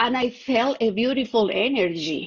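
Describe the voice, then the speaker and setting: Woman with a Colombian accent, very slow and with lively intonation. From Colombia, Bogotá. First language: Spanish. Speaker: contactee, clairvoyant. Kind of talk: interview testimony. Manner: halting, searching for English words.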